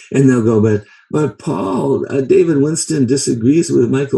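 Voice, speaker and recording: Moving through very wide pitch swings, a man speaks at a moderate pace in a dark, mellow, somewhat breathy voice. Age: 70s. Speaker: herbalist and teacher. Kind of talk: lecture. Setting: video call. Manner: halting; animated.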